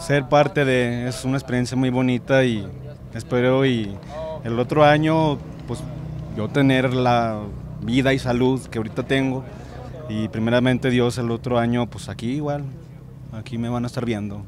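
A man of medium pitch speaks at a moderate pace with fairly even intonation and long, frequent pauses, recorded dry with no echo over light background noise. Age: 20s. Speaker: passion play actor. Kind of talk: casual interview. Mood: earnest, grateful. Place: street. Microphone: handheld.

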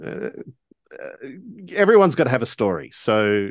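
At a moderate pace, a man talks over a quiet background in a dry sound with no echo. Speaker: co-host and game master; co-host. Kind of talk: casual chat. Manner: halting, many fillers. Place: home room. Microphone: studio mic.

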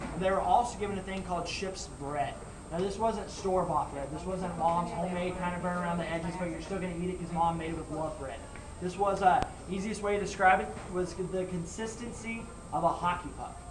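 Noticeable background noise sits under a man speaking at a fairly quick pace. His pitch is high and his intonation fairly even. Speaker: costumed ship tour guide. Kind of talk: tour guide talk. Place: boat. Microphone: camera far.

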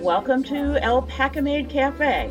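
Clear music plays in the background. Over it, a woman talks at a fairly slow pace. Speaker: true crime channel host. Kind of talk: casual podcast commentary. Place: cafe.

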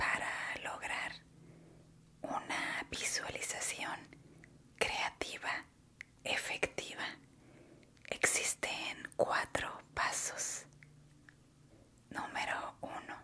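Whispering in a calm tone, a woman leaves long, frequent pauses. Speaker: ASMR creator and meditation guide. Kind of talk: ASMR guided relaxation talk. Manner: soft-spoken, slow, calm. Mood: warm, encouraging. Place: home room. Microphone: studio mic.

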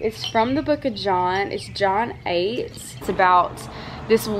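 Over noticeable background noise, the voice moves at a fairly slow pace with ordinary pitch variation. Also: woman. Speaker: lifestyle vlogger. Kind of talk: casual vlog chat. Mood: warm, grateful, emotional. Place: garden. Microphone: phone near.

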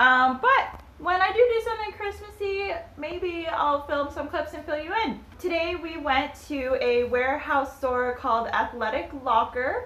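A woman speaks at a fairly slow pace in a high, bright and sharp voice with ordinary pitch variation.

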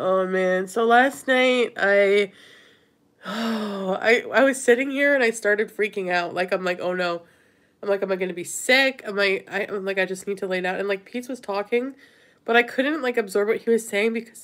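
The speaker has ordinary pitch variation and a moderate pace. The background is quiet. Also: woman. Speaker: vlogger. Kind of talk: casual livestream chat. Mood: sheepish, relaxed storytelling. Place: home room. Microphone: phone near.

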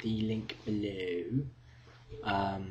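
The speaker is a man with a British accent. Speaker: university student vlogger. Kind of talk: casual video diary. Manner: hesitant, many fillers. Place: home room. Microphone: webcam.

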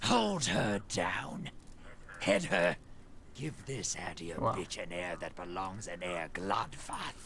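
A man puts on a raspy character voice, fairly low in pitch. He talks at a fairly slow pace over clear background noise. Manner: commanding, harsh.

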